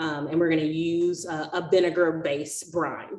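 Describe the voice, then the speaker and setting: A woman is speaking in a quiet background. Audible room echo surrounds her voice. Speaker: workshop host. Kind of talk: tutorial. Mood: friendly, laughing at times. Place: kitchen. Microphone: webcam.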